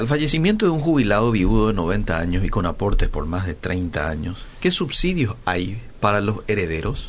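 A man speaks at a moderate pace with very wide pitch swings, and audible room echo surrounds his voice. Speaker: radio host. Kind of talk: radio interview; reading aloud.

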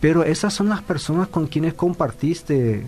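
Against noticeable background noise, a man speaks at a fairly slow pace and a fairly high pitch, with ordinary pitch variation. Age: 50s. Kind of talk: casual chat.

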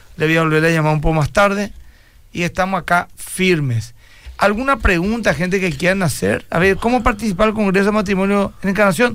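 At a fairly quick pace, a man speaks in a high pitch with ordinary pitch variation and very even loudness. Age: 50s. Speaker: pastor. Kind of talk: radio call-in Q&A.

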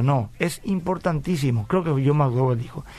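Delivered fairly quickly, a normal speaking voice shows ordinary pitch variation. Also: man. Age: 40s. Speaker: pastor and radio host. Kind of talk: radio Bible talk show.

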